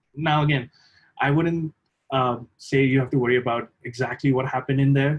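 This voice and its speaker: A man with a non-native accent talks at a fairly quick pace, somewhat breathy, at a medium pitch with ordinary pitch variation. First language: not English. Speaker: lab trainer. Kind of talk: tutorial. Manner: hesitant, many fillers.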